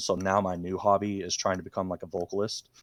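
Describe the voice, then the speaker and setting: A man's very deep, low voice with an American accent, very fast and monotone, flat in intonation, on a very clean recording with a silent background. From US South, Georgia. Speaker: guest, aspiring metal vocalist. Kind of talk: casual chat. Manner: many fillers, halting.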